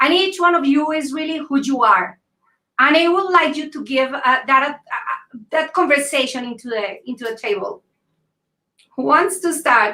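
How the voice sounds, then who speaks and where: In a Latin American accent, a woman uses a raised, projected voice, high-pitched and bright with a sharp tone, her intonation lively and her loudness swinging widely. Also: moderate pace. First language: Spanish. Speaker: panel moderator. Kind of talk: moderated panel discussion on video call.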